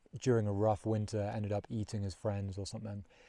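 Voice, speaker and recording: A man's fairly low, dark, mellow voice with a relaxed tone, fairly quick pace and monotone, flat intonation, on a very clean recording with a silent background. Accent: London. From London, England. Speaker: long-distance hiker vlogger. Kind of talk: casual vlog narration. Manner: relaxed, with many fillers.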